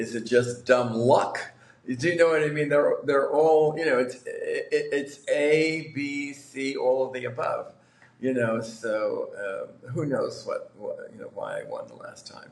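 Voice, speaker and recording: A man with a New York accent and big swings in loudness, amid noticeable background noise and audible room echo. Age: 60s. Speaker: lottery winner. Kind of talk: interview. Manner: halting, many fillers.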